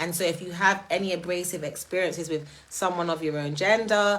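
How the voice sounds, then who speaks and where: A woman speaks with a strong British accent at a moderate pace. Her pitch is fairly low, with ordinary variation. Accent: strongly British. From Jamaica. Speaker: live streamer. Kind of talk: live stream talk. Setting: live stream.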